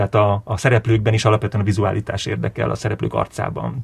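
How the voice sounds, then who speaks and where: Speech unfolds at a moderate pace. Vocal fry runs through the voice. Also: man. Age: 40s. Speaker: film director. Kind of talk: interview.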